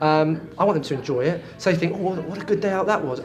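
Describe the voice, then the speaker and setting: Speaking very fast with a British accent, a man with a high voice uses ordinary pitch variation over noticeable background noise. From London, England. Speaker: property auctioneer. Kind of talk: interview answer. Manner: energetic, loud, fast-talking.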